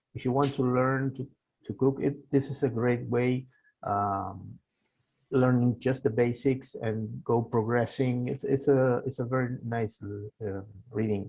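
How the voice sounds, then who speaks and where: Somewhat breathy speech moves at a fairly slow pace with fairly even intonation. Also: man, medium pitch for a man. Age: 60s. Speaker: author. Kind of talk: interview. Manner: halting.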